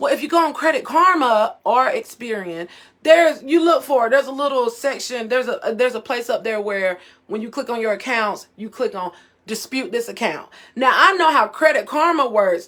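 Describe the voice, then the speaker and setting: Loud and animated, a woman speaks at a high pitch with lively intonation. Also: fairly quick pace. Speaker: financial coach. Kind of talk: live stream talk. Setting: live video stream.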